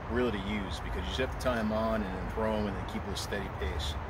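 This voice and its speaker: Music plays behind a man who talks at a fairly quick pace, the sound dry with no echo. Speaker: fishing vlogger. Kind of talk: casual vlog chat and tutorial. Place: waterside.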